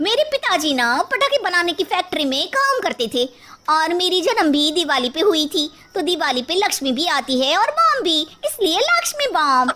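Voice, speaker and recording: A woman does a cartoonish character voice at an extremely high pitch, speaking at a moderate pace. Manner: brash, slangy.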